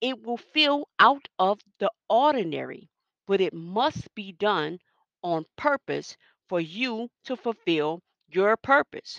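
Against a quiet background, with dry, close sound and no echo, a woman speaks at a very slow pace with very wide pitch swings. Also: medium pitch for a woman. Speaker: faith podcast host. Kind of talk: devotional talk. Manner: animated.

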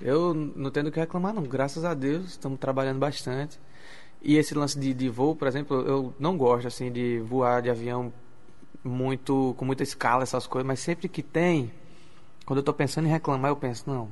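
A man's medium-pitched voice with a northeastern Brazilian accent, fairly even intonation and a moderate pace. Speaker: singer. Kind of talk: radio interview. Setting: radio studio.

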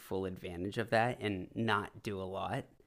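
A man in a Californian accent at a moderate pace, on a very clean recording with a silent background. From California, San Francisco Bay Area. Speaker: salesman. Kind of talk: casual chat.

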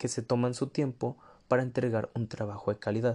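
A man speaks at a moderate pace in a medium pitch, his dark, mellow tone held to a monotone, flat intonation. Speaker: podcast host. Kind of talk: casual monologue.

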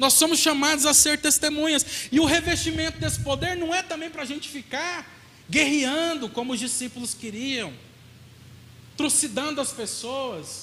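A man's raised, projected voice at an extremely high pitch, with audible room echo and noticeable background noise. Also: ordinary pitch variation, moderate pace. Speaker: pastor. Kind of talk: sermon.

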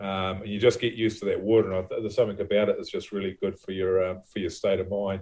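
A man with a New Zealand accent at a very fast pace, with hardly any pauses. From New Zealand, Levin. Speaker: actor and film producer. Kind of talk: casual interview chat.

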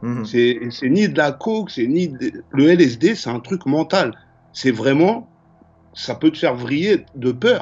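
A man's fairly high voice takes very wide pitch swings as he talks at a very slow pace. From Paris suburbs (Val-de-Marne, Choisy-le-Roi). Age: 40s. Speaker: graffiti artist and painter. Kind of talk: casual interview chat. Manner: halting, repetitive.

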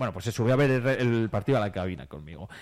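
The recording is very clean, with a silent background. A man talks at a very fast pace with ordinary pitch variation. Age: 30s. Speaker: radio host. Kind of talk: casual chat.

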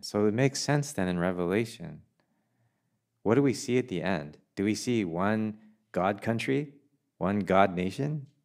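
In a very clean recording with a silent background, a man with a Canadian accent uses an unremarkable speaking voice, a fairly low pitch and lively intonation. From Canada, Korean Canadian. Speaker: pastor. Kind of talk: sermon. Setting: church.

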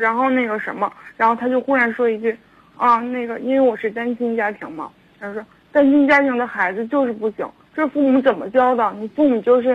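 A woman speaks quite quickly in a high pitch with fairly even intonation. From Harbin, northeast China. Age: 20s. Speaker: caller. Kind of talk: phone-in advice call. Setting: phone call. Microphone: too quiet, far from phone.

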